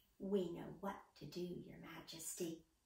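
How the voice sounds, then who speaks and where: A woman's fairly low, monotone, flat put-on character voice with a slight echo. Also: moderate pace. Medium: read story. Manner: self-assured.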